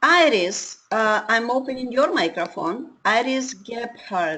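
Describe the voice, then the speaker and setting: A woman's fairly high voice with lively intonation, an unremarkable speaking voice. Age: 60s. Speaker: webinar host. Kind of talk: webinar moderation. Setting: online webinar.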